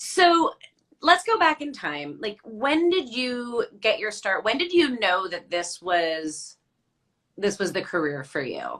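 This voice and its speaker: A woman with a New Jersey accent speaks very slowly in a fairly high voice, her pitch swinging very widely. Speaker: podcast host. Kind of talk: casual interview chat. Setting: hotel room, video call.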